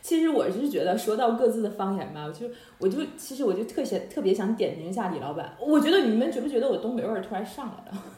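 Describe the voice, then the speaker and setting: Over noticeable background noise, the speech runs very fast with hardly any pauses and very wide pitch swings. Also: woman, fairly high pitch for a woman. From Harbin, Heilongjiang, China. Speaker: podcast host. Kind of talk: casual chat. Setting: online call.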